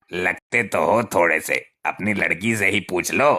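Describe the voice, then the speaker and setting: This is a cartoonish character voice at a moderate pace. Its loudness stays very even. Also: man, fairly low pitch for a man. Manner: blundering, gossipy.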